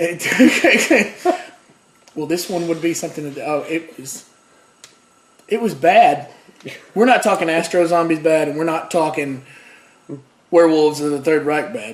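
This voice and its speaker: A man speaks at a high pitch and a fairly slow pace, with long, frequent pauses and big swings in loudness. His pitch varies in an ordinary way, over noticeable background noise. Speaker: YouTube host of a bad-movie review show. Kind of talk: casual talk to camera, comedic movie review.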